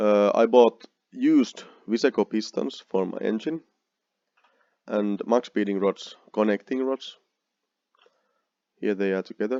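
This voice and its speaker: A man with a Finnish accent speaks in a dark, mellow tone at a fairly slow pace, leaving long, frequent pauses. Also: fairly low pitch for a man, ordinary pitch variation, dry, close sound with no echo. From Finland. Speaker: car builder vlogger. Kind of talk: narrated slide show. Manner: halting.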